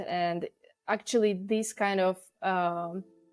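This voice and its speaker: In a Russian accent, a woman talks at a medium pitch with ordinary pitch variation, the sound dry and close with no echo. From Uzbekistan. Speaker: expat interviewee. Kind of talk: casual interview. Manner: hesitant, many fillers.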